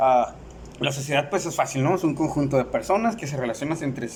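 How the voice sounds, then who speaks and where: A man's fairly high pitch over noticeable background noise. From Mexicali, Baja California, Mexico. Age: 30s. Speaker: university student. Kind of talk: class presentation. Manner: halting, with fillers and repetitions.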